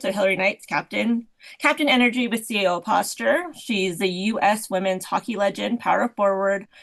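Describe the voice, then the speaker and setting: A woman's medium-pitched voice, a plain, everyday voice, with ordinary pitch variation at a moderate pace. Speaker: podcast co-host leading games. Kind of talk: casual chat. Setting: online call.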